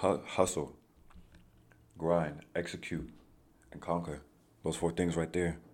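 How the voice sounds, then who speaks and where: Very deep and low in pitch, a man speaks at a fairly slow pace in a monotone, flat delivery broken by long, frequent pauses. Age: 20s. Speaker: solo podcast host. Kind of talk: casual monologue. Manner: conversational, with many fillers.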